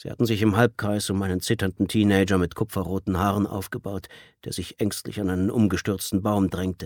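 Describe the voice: The passage is plain reading aloud.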